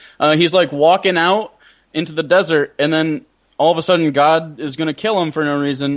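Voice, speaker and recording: A man's fairly high voice at a fairly quick pace, ordinary pitch variation, quiet background. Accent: American. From US Midwest, Michigan. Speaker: YouTube comedian. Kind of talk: casual chat.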